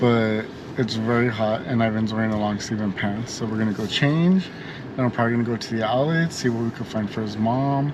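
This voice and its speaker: A man talks fairly quickly while noticeable background noise fills the clip. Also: medium pitch for a man, ordinary pitch variation. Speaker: travel vlogger. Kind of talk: casual vlog narration.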